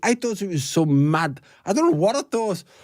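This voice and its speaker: A man in a Liverpool accent, his tone dark and mellow, speaks with lively intonation in a very clean recording with a silent background. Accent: Scouse. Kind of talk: casual interview talk.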